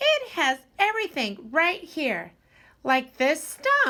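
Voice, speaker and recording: A woman puts on a squeaky character voice. She talks at a very slow pace with very wide pitch swings. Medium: read story. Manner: hesitant, worried.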